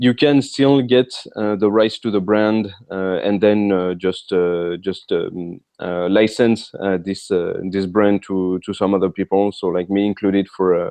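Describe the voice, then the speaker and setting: Speaking with a French accent at a fairly slow pace, this man keeps a fairly low pitch and fairly even intonation, with hardly any pauses. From France. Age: 30s. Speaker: author. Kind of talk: interview. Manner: halting, many fillers.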